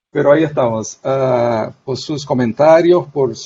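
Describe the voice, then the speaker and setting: A man with a Portuguese accent speaks at a very slow pace. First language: Portuguese (speaking Spanish). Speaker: sociologist. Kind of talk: academic panel talk. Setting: video call. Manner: halting.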